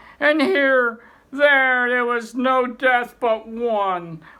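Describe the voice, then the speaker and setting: In a put-on character voice with a fairly high pitch, the speaker goes at a very slow pace on a very clean recording with a silent background. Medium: read story. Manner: intense, dramatic.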